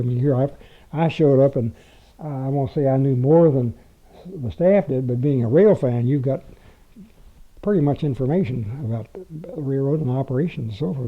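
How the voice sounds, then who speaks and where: A somewhat breathy man at medium pitch, with ordinary pitch variation and a moderate pace. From Louisville, Kentucky. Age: 80s+. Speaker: retired railroad public relations writer. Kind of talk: interview answer.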